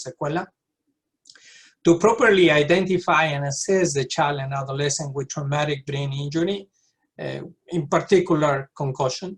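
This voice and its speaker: A man talks with a South American accent. His voice is somewhat breathy, with fairly even intonation. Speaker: pediatric neurologist. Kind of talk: lecture.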